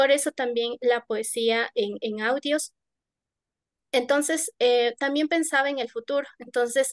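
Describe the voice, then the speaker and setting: Recorded dry and close with no echo, a woman with an Ecuadorian accent speaks fairly slowly at a high pitch with fairly even intonation. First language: Kichwa (speaking Spanish). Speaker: poet. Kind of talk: panel discussion. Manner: halting.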